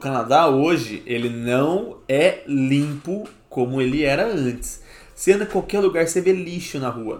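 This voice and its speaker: Music plays in the background as a man speaks at a fairly slow pace. His fairly high pitch moves with lively intonation. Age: 30s. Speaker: podcast host. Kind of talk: casual chat.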